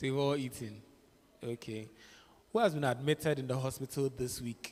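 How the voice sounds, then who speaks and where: Here is a man with a plain, everyday voice at medium pitch. He keeps a moderate pace and ordinary pitch variation. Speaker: clinical psychologist. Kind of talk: interactive talk. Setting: church.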